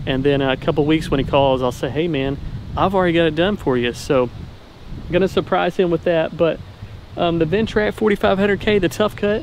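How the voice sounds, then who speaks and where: Moderate pace and ordinary pitch variation, with a dry sound with no echo and light background noise. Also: man. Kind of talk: casual vlog chat. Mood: upbeat, friendly. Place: open country. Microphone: phone near.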